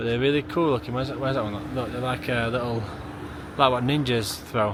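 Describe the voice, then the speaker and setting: With a South Yorkshire accent, a man speaks at a very fast pace amid noticeable background noise and audible room echo. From northern England (Maltby, South Yorkshire). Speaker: travel vlogger. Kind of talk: casual vlog narration.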